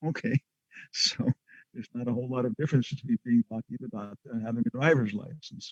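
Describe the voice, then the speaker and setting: Somewhat breathy and fairly quick, a man speaks with very wide pitch swings in a dry, close recording with no echo. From Guam. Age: 70s. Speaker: monk and spiritual teacher. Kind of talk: online lecture. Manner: halting.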